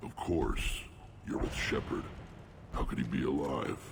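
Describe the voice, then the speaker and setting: Through clear background noise, a man performs a put-on character voice at a moderate pace. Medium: video game. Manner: gruff, blunt.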